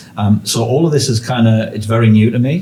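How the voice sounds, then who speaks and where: A man with a northeast English accent speaks at a fairly low pitch with ordinary pitch variation, with noticeable background noise behind him. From northeast England. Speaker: podcast host. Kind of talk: casual interview chat.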